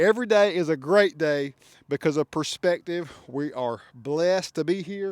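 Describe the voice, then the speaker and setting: A high-pitched man in a Southern US accent at a moderate pace, with ordinary pitch variation, a dry, close sound with no echo and a very clean recording with a silent background. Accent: Southern country. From US South, Georgia. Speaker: custom truck shop owner and reviewer. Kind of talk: product walkaround review. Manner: animated. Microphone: new mic.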